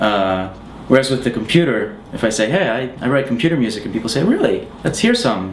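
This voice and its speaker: There is audible room echo and noticeable background noise behind this man. He speaks at a medium pitch and a fairly quick pace, with lively intonation. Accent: American. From US, Pennsylvania. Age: 30s. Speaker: musician. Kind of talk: interview answers. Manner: hesitant, many fillers.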